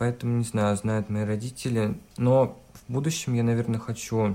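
A man with a dark, mellow tone, fairly even intonation and a fairly slow pace. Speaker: hairdressing student and blogger. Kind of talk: casual chat. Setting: video call.

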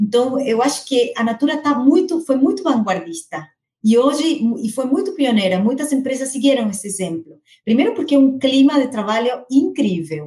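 A woman with a Spanish accent, at a moderate pace, with very wide pitch swings. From Argentina. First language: Spanish (speaking Portuguese). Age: 40s. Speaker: corporate HR director. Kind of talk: interview.

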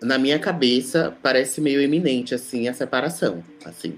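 A man speaks in a normal speaking voice at fairly high pitch. His pace is fairly slow, with ordinary pitch variation. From Brazil, Salvador (Bahia). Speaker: DJ. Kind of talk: casual chat.

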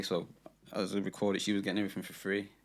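The man's voice sits at a fairly low pitch. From Birmingham, England. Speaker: guest. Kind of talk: casual chat.

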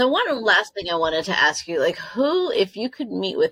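A woman speaks at a moderate pace, and the sound is dry and close with no echo. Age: 50s. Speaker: podcast host. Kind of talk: casual interview chat.

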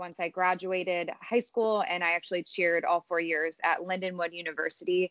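A woman's medium-pitched voice in a Chicago accent, fairly quick and monotone with flat intonation. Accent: Chicago-area American. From Illinois, Chicago suburbs. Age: 20s. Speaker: college cheer coach. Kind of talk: casual interview.

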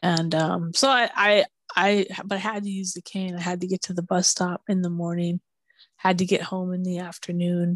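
An unremarkable speaking voice from a woman with an American accent, medium pitch, fairly even intonation and a moderate pace, in a quiet background with a dry, close sound and no echo. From Minneapolis, US Midwest. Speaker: blind podcaster. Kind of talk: casual chat.

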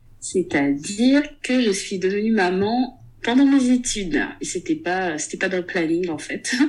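With music in the background, a woman of medium pitch speaks at a fairly slow pace, her pitch swinging very widely. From Gabon. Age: 30s. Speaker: book club founder and content creator. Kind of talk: casual interview. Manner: hesitant, with frequent fillers.

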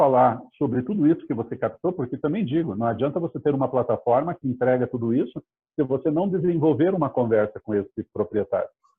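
A man with an unremarkable speaking voice and lively intonation. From Curitiba, Brazil. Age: 50s. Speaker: real estate startup CEO. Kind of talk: interview.

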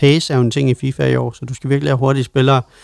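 A man's voice, dry and close with no echo. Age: 30s. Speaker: podcast co-host. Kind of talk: casual chat. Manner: halting, many fillers.

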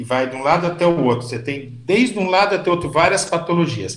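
A man's lively intonation at a fairly quick pace, with audible room echo and noticeable background noise. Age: 60s. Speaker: physician. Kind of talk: interview.

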